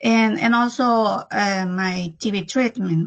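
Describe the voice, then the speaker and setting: A woman with a Spanish accent. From El Salvador. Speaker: disease survivor. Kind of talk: testimony. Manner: halting.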